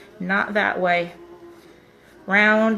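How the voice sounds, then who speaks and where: Over music in the background, a woman talks in a medium pitch with monotone, flat intonation. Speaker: nail wrap consultant. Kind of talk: tutorial. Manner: fast; casual.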